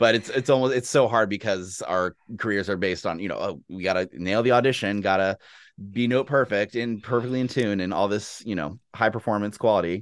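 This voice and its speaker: Against a quiet background, a man with an unremarkable speaking voice and a fairly low pitch talks at a fairly quick pace in an American accent, with ordinary pitch variation. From Texas, Austin. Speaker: orchestral horn player and music professor, powerlifter. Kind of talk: casual interview conversation.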